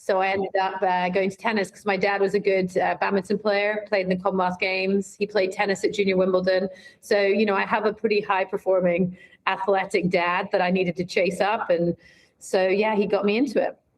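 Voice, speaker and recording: A woman's medium-pitched voice in a Scottish accent, at a fairly quick pace with monotone, flat intonation. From Scotland. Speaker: brand marketing executive. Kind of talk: interview conversation. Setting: podcast.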